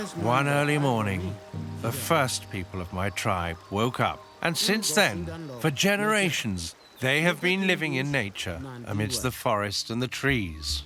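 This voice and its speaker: Music plays in the background as a man talks at a fairly slow pace. His pitch swings very widely. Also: medium pitch for a man. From Papua New Guinea. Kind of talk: documentary narration.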